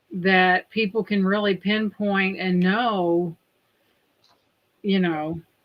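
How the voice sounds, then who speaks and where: In a Southern US accent, the speaker moves at a very slow pace with long, frequent pauses and fairly even intonation. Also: woman, medium pitch for a woman. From Indiana, US Midwest. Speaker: livestream host. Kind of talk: casual chat.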